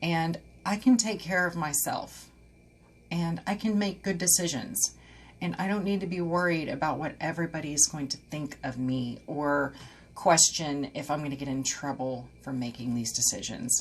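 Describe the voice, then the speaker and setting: A somewhat breathy woman with an American accent, a very deep, low pitch, and lively intonation. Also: moderate pace. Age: 40s. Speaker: esthetician and personal trainer. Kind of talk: personal story told to camera.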